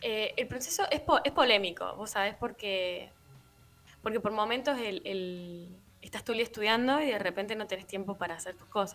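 A fairly high-pitched woman at a moderate pace, with ordinary pitch variation, big swings in loudness and music in the background. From Argentina, La Rioja (city). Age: 30s. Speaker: musician. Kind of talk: casual interview. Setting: remote live radio interview.

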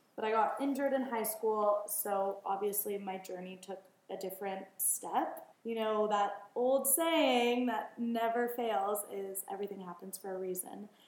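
Speaking fairly slowly with an American accent, a woman uses ordinary pitch variation, and audible room echo surrounds her voice. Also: medium pitch for a woman. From Los Angeles. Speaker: founder of a children's clothing brand. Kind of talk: casual interview chat. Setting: in person, downtown Los Angeles.

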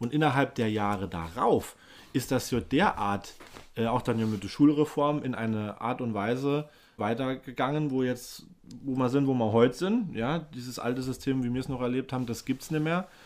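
A man speaks in a normal speaking voice at medium pitch and a moderate pace, with ordinary pitch variation, on a very clean recording with a silent background. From Germany, Rhineland-Palatinate (Baumholder). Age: 30s. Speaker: podcast co-host. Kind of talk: casual chat.

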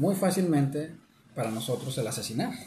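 Audible room echo surrounds a man whose fairly high voice has lively intonation. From Mexico. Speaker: podcast co-host. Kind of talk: casual chat.

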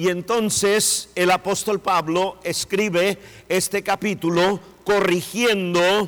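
A man speaks at a high pitch in a flat monotone. His pace is very slow. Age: middle-aged. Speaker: pastor. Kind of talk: sermon.

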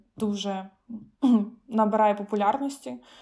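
With a plain, everyday voice, a woman talks at a moderate pace in a fairly high pitch with fairly even intonation. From Ukraine, Khmelnytskyi. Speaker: medical student. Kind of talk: casual interview.

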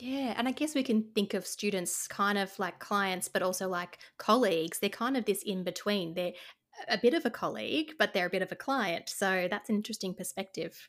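With an Australian accent, a woman speaks at a fairly quick pace. Her medium pitch shows ordinary variation. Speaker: podcast host, speech pathologist. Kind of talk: casual interview chat.

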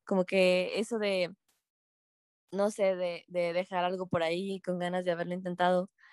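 At a moderate pace, a woman with a medium pitch speaks in a dry, close sound with no echo. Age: 20s. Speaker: university student ambassador. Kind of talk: casual chat.

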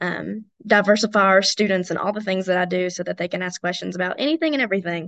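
The background is quiet as a woman with an Appalachian accent speaks very fast. Her pitch varies in an ordinary way. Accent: Southern US (Appalachian). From East Tennessee. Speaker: college student leader. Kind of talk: interview.

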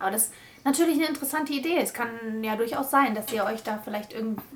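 A woman's high-pitched voice, with ordinary pitch variation, comes through over noticeable background noise. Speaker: podcast host. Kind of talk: casual chat. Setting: recorded in a bedroom.

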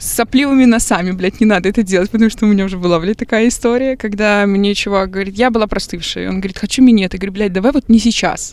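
The speech runs at a very fast pace with hardly any pauses. Its intonation stays fairly even. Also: woman, medium pitch for a woman. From Belarus, Minsk. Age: 20s. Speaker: podcast guest. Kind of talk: casual chat.

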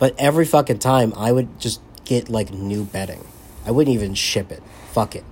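A man talks with an American accent at a medium pitch. His voice is somewhat breathy, with a moderate pace and ordinary pitch variation. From US South (Florida Panhandle). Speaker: podcast co-host, army soldier. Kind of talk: casual chat.

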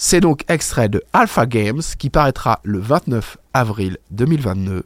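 The recording is dry and close, with no echo. A man talks with very wide swings in pitch. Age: 30s. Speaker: radio host. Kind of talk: interview; radio music show.

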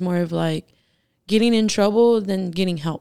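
A woman with an American accent speaks at a moderate pace in a medium pitch with a dark, mellow tone. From Washington. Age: 20s. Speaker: person in addiction recovery. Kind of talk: interview testimony.

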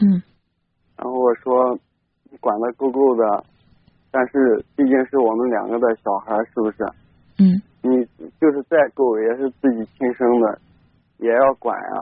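Long, frequent pauses break up a man's fairly slow speech, and his loudness swings widely. His pitch is medium with ordinary variation. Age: 20s. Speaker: caller, stone factory worker. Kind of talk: call-in personal story. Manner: halting, many fillers.

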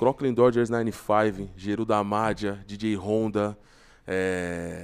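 Background silence and a very clean recording frame the voice. A man talks at a fairly low pitch, his intonation fairly even. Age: 20s. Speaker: rapper. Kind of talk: casual chat.

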